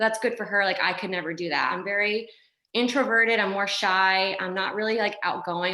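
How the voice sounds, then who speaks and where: At a fairly quick pace, a woman speaks in a normal speaking voice with a medium pitch and ordinary pitch variation. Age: 20s. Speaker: network marketing distributor. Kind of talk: motivational testimony. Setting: video call. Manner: casual, filler-heavy.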